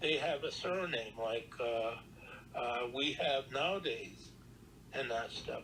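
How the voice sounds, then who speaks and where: Noticeable background noise runs through the clip. A man speaks at a very slow pace with ordinary pitch variation. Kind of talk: oral history interview. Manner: hesitant, conversational.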